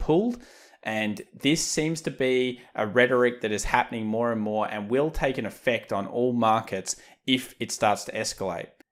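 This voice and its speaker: A fairly quick delivery in an Australian accent, with a very clean recording and silent background. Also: man. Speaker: trading educator. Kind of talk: market analysis commentary.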